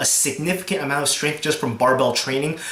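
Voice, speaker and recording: Noticeable background noise sits behind a man talking at a fairly quick pace. His voice is fairly high in pitch. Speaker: strongman and powerlifting competitor. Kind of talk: casual talk to camera. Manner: hesitant, stuttering with many fillers.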